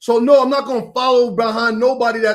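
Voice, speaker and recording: A loud man with an extremely high pitch and an animated tone. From New York. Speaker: preacher. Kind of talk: heated debate.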